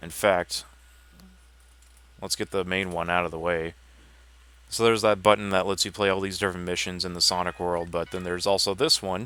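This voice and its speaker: On a very clean recording with a silent background, a man with a very deep, low pitch talks at a fairly quick pace, monotone and flat, relaxed yet bright and sharp in tone, with long, frequent pauses. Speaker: gaming livestreamer. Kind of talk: gameplay livestream commentary. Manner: casual, relaxed.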